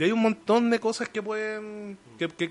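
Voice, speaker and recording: A man speaks at a fairly slow pace. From Chile, Conchalí (Santiago). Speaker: professional wrestler. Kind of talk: casual chat.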